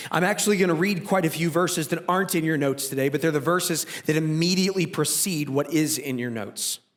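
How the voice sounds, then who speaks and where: At a very fast pace with hardly any pauses, a man with a fairly high pitch speaks with ordinary pitch variation. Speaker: pastor. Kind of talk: sermon.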